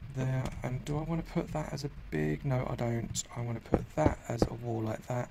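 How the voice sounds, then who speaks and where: A man with a medium pitch speaks at a moderate pace and with lively intonation. Background noise is noticeable. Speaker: gaming youtuber. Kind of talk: tutorial. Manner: quiet, low energy.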